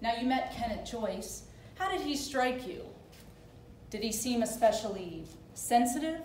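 A woman speaks at a fairly slow pace with lively intonation, with audible room echo and light background noise. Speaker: actor playing a prosecutor. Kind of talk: staged courtroom closing argument. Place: stage. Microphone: camera far.

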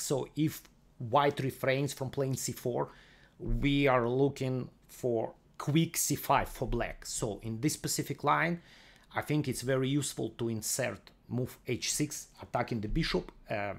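A man's medium-pitched voice with vocal fry, ordinary pitch variation and a fairly slow pace

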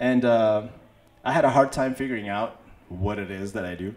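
This is a man speaking. His pace is moderate. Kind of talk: stage banter introducing a song. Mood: relaxed, humorous. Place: open country. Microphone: handheld.

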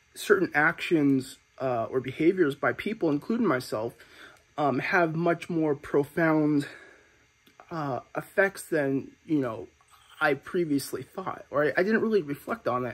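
Using ordinary pitch variation, a man talks at a fairly slow pace. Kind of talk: casual vlog chat. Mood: reflective, calm. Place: home room. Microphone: phone near.

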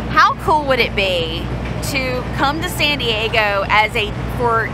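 Loud background noise fills the clip, while the sound itself is dry with no echo. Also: woman. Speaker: travel vlogger. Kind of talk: casual vlog chat. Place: street. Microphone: phone near.

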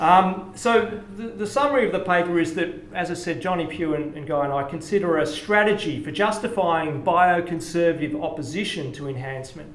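Over audible room echo, a man talks at a fairly quick pace with lively intonation. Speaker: conference speaker. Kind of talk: lecture. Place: hall. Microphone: podium.

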